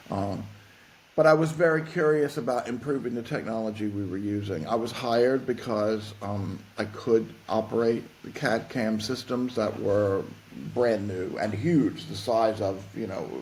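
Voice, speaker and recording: Someone with a Southern US accent speaks at a fairly slow pace. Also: man, medium pitch for a man, ordinary pitch variation. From US South. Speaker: fashion tech consultant. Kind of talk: podcast interview. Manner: halting, repeats words.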